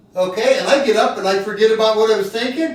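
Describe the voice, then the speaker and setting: A man's animated voice with lively intonation at a moderate pace, plus audible room echo and noticeable background noise. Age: 50s. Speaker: heart patient and cyclist. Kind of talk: casual chat.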